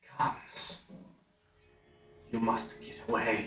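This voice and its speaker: A man's put-on character voice, raspy and hissing, at a fairly slow pace. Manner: hissing, frightened.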